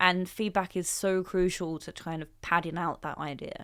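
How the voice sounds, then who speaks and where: A woman holds a moderate pace. Her recording is very clean, with a silent background. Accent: English. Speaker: business founder. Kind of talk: interview. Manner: measured, pauses before answering.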